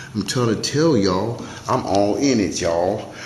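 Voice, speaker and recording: Against noticeable background noise and audible room echo, a man talks with lively intonation at a fairly low pitch. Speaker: community activist and video show host. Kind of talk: casual monologue to camera. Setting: City Hall. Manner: fast.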